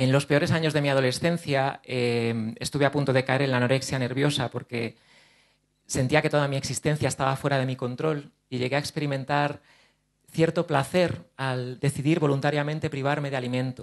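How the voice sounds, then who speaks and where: A man speaks at a fairly quick pace and fairly high pitch. His intonation is fairly even against a quiet background. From Spain, Ciudad Real province (La Mancha); Castilla-La Mancha, Spain. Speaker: actor and speaker on OCD; actor, speaker. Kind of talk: conference talk. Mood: earnest, personal, open. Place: hall. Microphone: handheld.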